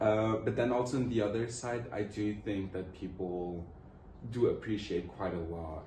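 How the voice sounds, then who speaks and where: A fairly low-pitched man with a Portuguese accent, somewhat breathy and dark, mellow in tone, at a moderate pace with ordinary pitch variation, amid audible room echo. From Luxembourg. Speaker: student interviewee. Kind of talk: interview answers.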